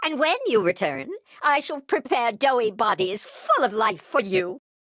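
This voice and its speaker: This is a put-on character voice with fairly high pitch. It moves at a fairly slow pace. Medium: video game. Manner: overblown, boastful.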